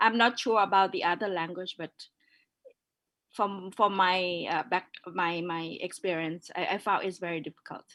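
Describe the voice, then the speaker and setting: At a moderate pace, a woman with a northern Thai accent speaks in a bright, sharp tone with fairly even intonation. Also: medium pitch for a woman. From Thailand, northern minority background. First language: Yong. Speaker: curator. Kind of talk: panel discussion.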